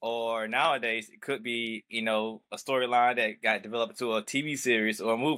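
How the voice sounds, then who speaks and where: Speaking at a moderate pace with fairly even intonation, a man with a fairly low pitch and a bright, sharp tone comes through in a very clean recording with a silent background. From US South. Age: 30s. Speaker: podcast host. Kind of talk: casual chat.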